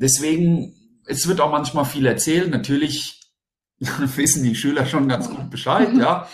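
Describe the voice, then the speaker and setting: A man's somewhat breathy, fairly high-pitched voice at a fairly slow pace, with ordinary pitch variation and audible room echo. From Germany, bilingual German-French household. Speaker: teacher and deputy head. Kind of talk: interview.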